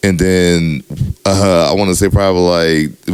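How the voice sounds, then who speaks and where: Noticeable background noise runs under the speech. The voice shows ordinary pitch variation. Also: man. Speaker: DJ, podcast co-host. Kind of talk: casual chat. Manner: casual, lots of filler.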